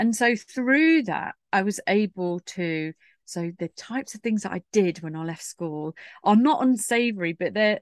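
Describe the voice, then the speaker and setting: A woman's unremarkable speaking voice at a medium pitch, moderate pace and ordinary pitch variation, dry and close with no echo against a quiet background. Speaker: writer and PR consultant. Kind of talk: casual interview chat.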